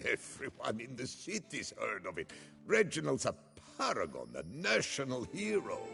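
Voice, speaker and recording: Against clear background music, a man does a put-on character voice at a moderate pace. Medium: game stream. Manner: terse, deadpan.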